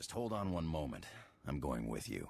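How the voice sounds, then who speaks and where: A put-on character voice from a man, very deep and low in pitch, at a moderate pace. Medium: video game. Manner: gruff, sardonic.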